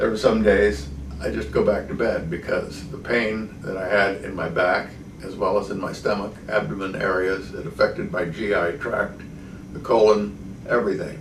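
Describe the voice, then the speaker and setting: Amid noticeable background noise and audible room echo, a man speaks at a moderate pace in a fairly low pitch with ordinary pitch variation. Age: 70s. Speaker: patient. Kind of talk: testimony. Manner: hesitant, with frequent fillers.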